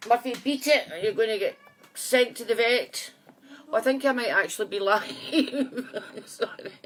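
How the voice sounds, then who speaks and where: Against noticeable background noise, a woman with a high pitch and ordinary pitch variation speaks at a moderate pace, her loudness swinging widely. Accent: Scottish. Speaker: psychic medium. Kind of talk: casual live chat to viewers. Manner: chatty, friendly.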